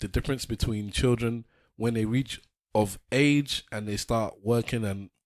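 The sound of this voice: The surroundings are quiet. The speaker uses an unforced reading voice.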